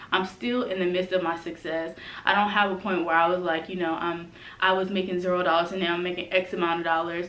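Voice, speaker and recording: Amid audible room echo, a woman with a fairly low pitch talks at a very fast pace in a monotone, flat way. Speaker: brand strategist and coach. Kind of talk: vlog tutorial.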